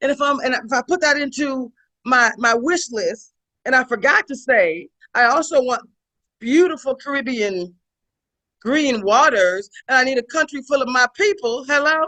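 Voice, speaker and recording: Over a quiet background, a woman with an American accent projects a raised, high, bright and sharp voice with lively intonation at a moderate pace, the sound dry and close with no echo. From US South. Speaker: leadership consultant. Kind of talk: webinar presentation. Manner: animated.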